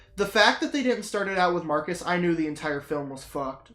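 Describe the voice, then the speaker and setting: The voice races at a very fast pace in an animated tone over noticeable background noise. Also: woman. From Britain. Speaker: gaming streamer. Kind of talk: casual chat.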